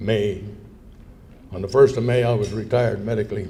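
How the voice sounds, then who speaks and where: A man's somewhat breathy, medium-pitched voice at a moderate pace, with audible room echo. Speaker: war veteran. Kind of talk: speech. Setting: luncheon event with audience. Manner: conversational.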